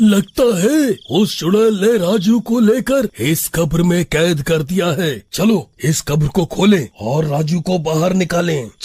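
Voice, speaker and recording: Using a cartoonish character voice, a man speaks in a high pitch at a fairly slow pace. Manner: scared, stammering.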